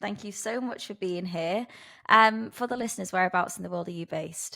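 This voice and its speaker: Here is a woman at a medium pitch with a bright, sharp tone. The recording is very clean, with a silent background. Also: ordinary pitch variation, fairly quick pace. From northern England. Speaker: podcast host. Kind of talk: interview; scripted intro.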